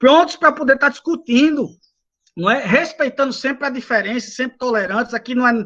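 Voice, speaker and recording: Extremely high in pitch, this man's voice sounds bright and sharp, with ordinary pitch variation. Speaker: lecturer on renewable energy; engineer, doctorate holder. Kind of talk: lecture. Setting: video call from home balcony. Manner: fast.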